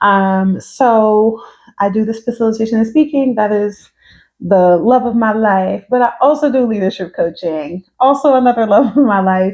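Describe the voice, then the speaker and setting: A woman speaks in an American accent at a moderate pace. Her tone is relaxed and her pitch variation ordinary. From New York, the Bronx, partly Georgia. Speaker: social worker and consultant. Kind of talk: casual vlog introduction. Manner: relaxed, conversational.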